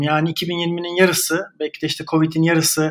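A man talks at a moderate pace. His voice sits high in pitch. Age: 30s. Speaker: writer and digital marketer. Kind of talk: casual chat. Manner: halting, many fillers.

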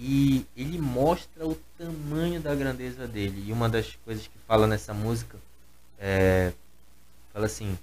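A man at a medium pitch, fairly slow pace and ordinary pitch variation. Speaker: gospel musician and singer. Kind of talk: casual chat.

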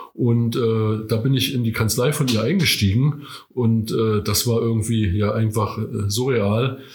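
A man speaks at a fairly slow pace, his voice medium in pitch and somewhat breathy. His loudness stays very even, the intonation is fairly even, and room echo is audible. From Rügen, northern Germany. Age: 60s. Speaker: veteran amateur runner. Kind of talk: interview. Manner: hesitant, many fillers.

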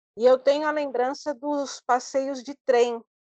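Very slowly, a woman speaks in a high pitch, the sound dry and close with no echo. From Brazil, São Paulo. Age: 50s. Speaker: traveler with low vision. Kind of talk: interview.

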